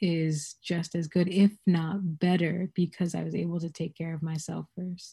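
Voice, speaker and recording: A woman with a fairly low pitch, a dark, mellow tone, a somewhat breathy quality, monotone, flat intonation and a fairly slow pace, on a very clean recording with a silent background. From West Africa. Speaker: community researcher and activist. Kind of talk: casual interview.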